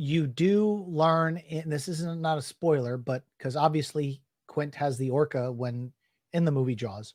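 A man with a normal speaking voice talks at a fairly slow pace and a fairly high pitch. His pitch varies in an ordinary way, and the recording is very clean with a silent background. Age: 40s. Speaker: YouTube talk show host. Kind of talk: live-stream interview. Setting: live video stream.

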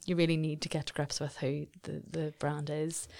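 Heard on a very clean recording with a silent background, the speech runs at a fairly quick pace in an Northern Irish accent with monotone, flat intonation. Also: woman. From Northern Ireland, South Armagh. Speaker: marketing agency director. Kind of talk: interview conversation. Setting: studio.

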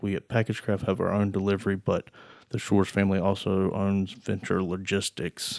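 Flat, monotone speech with a North Carolina accent moves at a moderate pace over a very clean recording with a silent background. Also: man. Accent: Southern US (North Carolina). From eastern North Carolina (Greenville). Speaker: manufacturing company controller. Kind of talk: interview. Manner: halting, with repeated words.

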